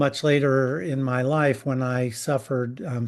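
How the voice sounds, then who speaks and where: A man speaks at a moderate pace in an ordinary speaking voice, with medium pitch and fairly even intonation. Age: 60s. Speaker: film writer and producer. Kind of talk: panel discussion.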